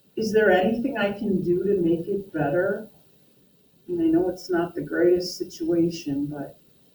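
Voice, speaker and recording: Soft-spoken and somewhat breathy speech at a moderate pace, with ordinary pitch variation. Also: woman. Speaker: math teacher. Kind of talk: classroom lecture.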